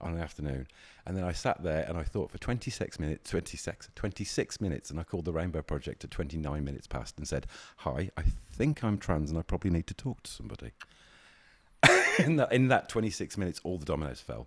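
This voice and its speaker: A man with a very deep, low pitch and vocal fry talks at a very fast pace with lively intonation. The recording is very clean, with a silent background. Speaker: queer community advocate. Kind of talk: casual podcast chat.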